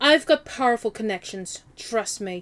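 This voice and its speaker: A woman's put-on character voice, fairly high-pitched, at a moderate pace. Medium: game stream.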